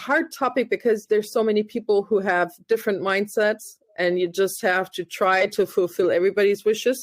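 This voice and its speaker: With a German accent, a woman speaks at a medium pitch, her loudness very even and hardly any pauses in her speech. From Germany. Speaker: podcast host. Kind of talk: podcast interview.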